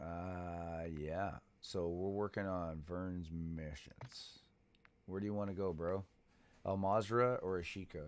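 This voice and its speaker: A man with a very deep, low pitch and a slight Canadian accent, speaking at a very slow pace in a very clean recording with a silent background. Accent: mild Canadian English. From Canada. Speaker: gaming streamer. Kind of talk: live gameplay commentary. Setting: live stream with voice chat. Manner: animated.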